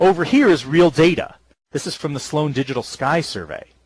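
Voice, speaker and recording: A man talks at a fairly quick pace. His fairly high voice is somewhat breathy. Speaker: astronomy professor. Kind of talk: public lecture. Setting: virtual world lecture.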